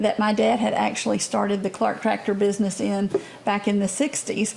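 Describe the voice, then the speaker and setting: A woman talks with an Alabama accent. Noticeable background noise runs behind her. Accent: Southern US (Alabama). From US South, Alabama (Bibb County). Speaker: state politician. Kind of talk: interview.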